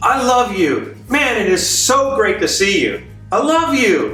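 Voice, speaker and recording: Using a put-on character voice, a man speaks at an extremely high pitch with very wide pitch swings and a resonant sound at a fairly slow pace. Clear music plays behind him, and there is a slight echo. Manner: joyful, happy, warm.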